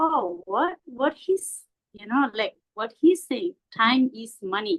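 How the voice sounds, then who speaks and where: A woman with a non-native accent speaks at a very slow pace, high in pitch, with lively intonation. The sound is dry and close, with no echo. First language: not English. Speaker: Buddhist teacher. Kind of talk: dharma talk. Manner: halting, many fillers.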